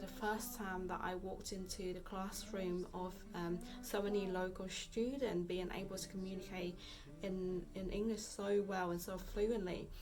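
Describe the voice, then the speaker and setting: Noticeable background noise and audible room echo surround a woman's voice. She speaks with a Vietnamese accent at a moderate pace and medium pitch. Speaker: fitness vlogger. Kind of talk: casual vlog talk. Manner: halting, many fillers.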